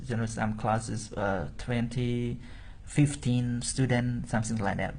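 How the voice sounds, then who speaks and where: Audible room echo surrounds a man speaking at a very slow pace. His voice is somewhat breathy and sits at a medium pitch. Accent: Cambodian. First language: Khmer. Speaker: Buddhist monk and teacher. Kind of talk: interview.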